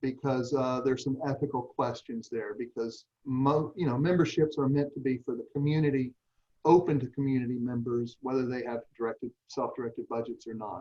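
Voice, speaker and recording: Speaking with an American accent, a man at medium pitch has a dark, mellow tone and fairly even intonation. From US South. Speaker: nonprofit organization leader. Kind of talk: online meeting presentation. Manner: slow.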